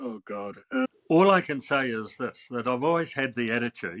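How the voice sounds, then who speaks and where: A man with a New Zealand accent, bright and sharp in tone, at a moderate pace with ordinary pitch variation, dry and close with no echo, on a very clean recording with a silent background. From New Zealand, Wellington. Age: 80s+. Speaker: artist and author. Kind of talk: interview.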